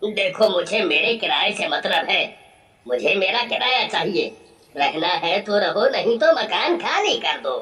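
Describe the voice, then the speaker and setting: A man uses a cartoonish character voice pitched high. He projects it loudly at a fairly slow pace. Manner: harsh, blunt.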